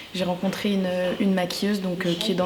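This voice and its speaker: A woman at medium pitch talks at a very fast pace. There is audible room echo and noticeable background noise. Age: 20s. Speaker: former makeup school student. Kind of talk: interview testimony. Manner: halting, many hesitations.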